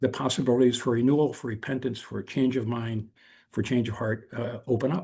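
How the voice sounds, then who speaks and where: A man's medium-pitched, dark, mellow voice, somewhat breathy and very fast, with a General American accent, ordinary pitch variation and a quiet background. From South Korea (American missionary family), then US. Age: 70s. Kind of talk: invited talk on video call. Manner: halting, frequent fillers and restarts.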